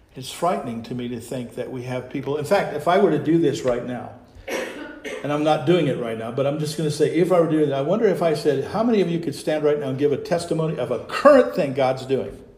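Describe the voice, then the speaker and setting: Audible room echo surrounds a man's fairly high-pitched voice. He talks at a very fast pace with ordinary pitch variation. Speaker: pastor. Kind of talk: sermon. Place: church. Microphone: lapel.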